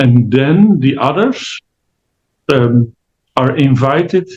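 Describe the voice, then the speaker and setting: Somewhat breathy, the voice carries a Dutch accent and ordinary pitch variation. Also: man. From Netherlands. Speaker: family constellation therapist. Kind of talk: interview. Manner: halting, many fillers.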